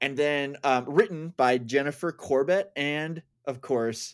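Very clean recording with a silent background, a man's fairly high, unremarkable speaking voice at a fairly slow pace with ordinary pitch variation. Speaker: podcast host. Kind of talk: casual chat.

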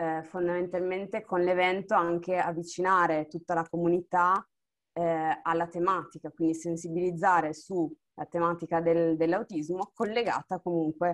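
A woman in an unremarkable speaking voice talks at a fairly slow pace and fairly low pitch with fairly even intonation, in a dry, close sound with no echo. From Friuli Venezia Giulia, Italy (Monfalcone). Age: 20s. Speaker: dancer and communications student. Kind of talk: casual chat.

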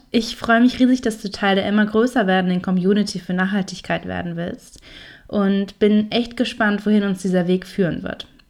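In a very clean recording with a silent background, a woman with an ordinary speaking voice talks at a medium pitch and moderate pace, with ordinary pitch variation. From Franconia, Germany. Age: 20s. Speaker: podcast host. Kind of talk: podcast intro monologue.

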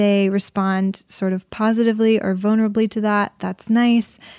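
Soft-spoken and fairly high-pitched, a woman talks at a moderate pace with monotone, flat intonation and a dark, mellow tone, the sound dry and close with no echo on a very clean recording with a silent background. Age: 20s. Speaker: actress. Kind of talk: casual chat.

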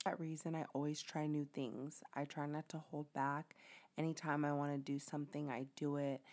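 A woman speaks in an animated tone with a very deep, low pitch at a moderate pace. The recording is very clean, with a silent background. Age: 20s. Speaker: podcast host, mom. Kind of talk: casual monologue. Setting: home recording.

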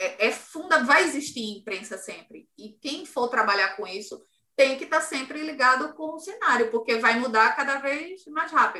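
Speaking at a fairly slow pace, a woman uses a bright, sharp tone at a high pitch, with lively intonation and big swings in loudness. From Ceará, Cariri region, Brazil. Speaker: journalist and communications agency owner. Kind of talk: interview. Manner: passionate.

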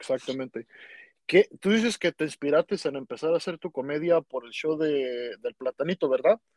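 With a normal speaking voice, a man talks at fairly high pitch and a moderate pace, with ordinary pitch variation, in a dry, close sound with no echo. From Mexico. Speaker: podcast host. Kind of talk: casual interview.

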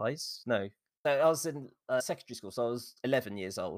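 The voice has an English accent on a very clean recording with a silent background. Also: man. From England. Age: 40s. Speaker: streamer. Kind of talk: interview.

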